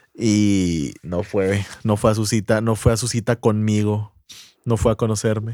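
On a very clean recording with a silent background and a dry, close sound with no echo, a man with a Mexican accent and a fairly low pitch speaks at a fairly slow pace, his tone dark and mellow and his intonation fairly even. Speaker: podcast co-host. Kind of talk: casual chat.

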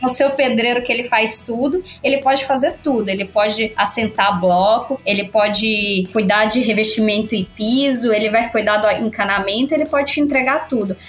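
A woman talks at a moderate pace with hardly any pauses and very even loudness. Her fairly high voice has ordinary pitch variation over noticeable background noise. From Bahia, Brazil. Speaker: software quality lead. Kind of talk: casual chat.

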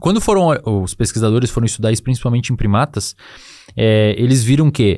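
An ordinary speaking voice with lively intonation. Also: man. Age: 20s. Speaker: psychologist and neuroscience expert. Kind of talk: casual interview.

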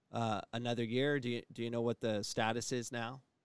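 A man's medium-pitched voice, a plain, everyday voice, at a moderate pace, with a dry, close sound and no echo, on a very clean recording with a silent background. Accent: American. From Phoenix, Arizona. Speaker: college sports coach and podcast host. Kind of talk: podcast interview.

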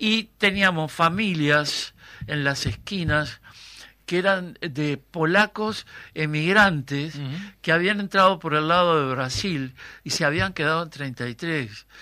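Very slow speech in a bright, sharp tone on a very clean recording with a silent background. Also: man, fairly high pitch for a man, ordinary pitch variation. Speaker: theatre actor and director. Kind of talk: interview.

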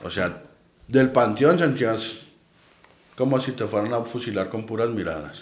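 A man with a Mexican accent at a fairly slow pace, long and frequent pauses, and audible room echo. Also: medium pitch for a man, ordinary pitch variation. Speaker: paranormal investigator. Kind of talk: casual chat.

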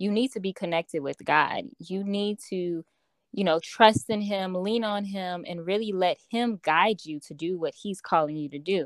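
A woman with an American accent and a plain, everyday voice, medium in pitch with ordinary variation, at a moderate pace, in dry, close sound with no echo. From Chicago, Illinois. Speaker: personal development coach and author. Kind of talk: interview conversation.

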